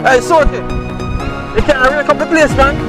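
A man's voice comes through dry, with no echo, over clear music in the background. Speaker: fisherman vlogger. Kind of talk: casual vlog chat. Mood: relaxed, jokey. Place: open country. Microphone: phone near.

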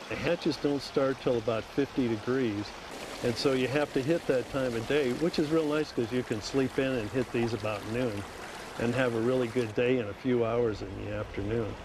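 A man talks over noticeable background noise. The sound is dry, with no echo. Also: fairly even intonation, moderate pace. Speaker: fishing guide. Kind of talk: interview answer. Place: waterside.

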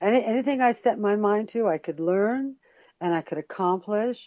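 An unremarkable speaking voice with lively intonation at a moderate pace. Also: woman. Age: middle-aged. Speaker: music producer and actress. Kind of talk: interview answer.

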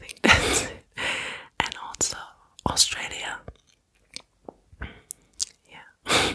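Whispering, a woman moves at a very slow pace. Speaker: content creator. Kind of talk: casual talk to camera, soft ASMR style. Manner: soft, close-mic ASMR speaking. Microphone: studio mic.

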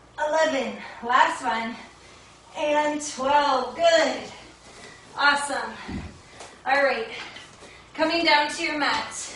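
A woman's high voice, with ordinary pitch variation, moves at a very slow pace amid audible room echo and light background noise. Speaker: fitness instructor. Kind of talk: workout instruction. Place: home room. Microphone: camera far.

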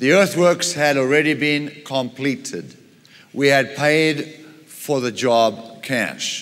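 A man speaks at a very slow pace. His pitch is fairly high, with ordinary variation. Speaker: pastor / preacher. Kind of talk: sermon with personal anecdote. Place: church.

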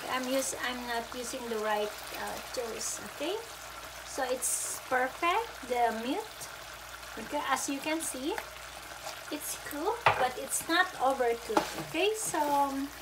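A woman talks at a fairly slow pace, pausing often and at length, with loud noise behind her. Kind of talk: casual cooking vlog chat. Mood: cheerful, laughing. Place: kitchen. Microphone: phone near.

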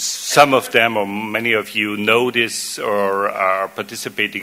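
Speaking with a German accent, a man with a fairly low pitch moves at a fairly slow pace with fairly even intonation. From Austria (Vienna). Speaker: water association executive; conference speaker. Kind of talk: conference presentation. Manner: halting, many fillers and repetitions. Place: hall. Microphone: podium.

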